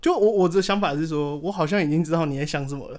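The man's high voice has lively intonation. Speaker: podcast guest. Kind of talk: casual chat.

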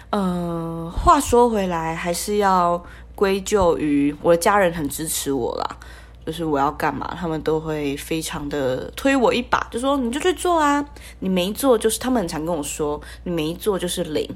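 Speaking in a Taiwanese accent, a woman with a fairly low pitch uses lively intonation at a moderate pace. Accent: Taiwanese Mandarin, light retroflex. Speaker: podcast host, university student. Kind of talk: solo casual podcast monologue. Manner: playful funny put-on intonations.

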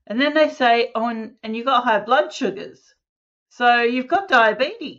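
A woman with an Australian accent speaks in a high voice with ordinary pitch variation. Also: moderate pace. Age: 50s. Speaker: holistic health practitioner. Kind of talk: casual interview.

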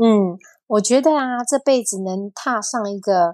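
Against a quiet background, a woman uses a plain, everyday voice with lively intonation. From Taiwan. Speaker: university teacher. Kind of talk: casual chat.

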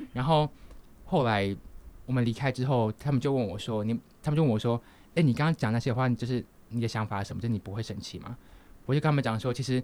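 This man's pitch is medium and varies in an ordinary way. He speaks very fast. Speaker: podcast co-host, university student. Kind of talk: casual chat. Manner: halting.

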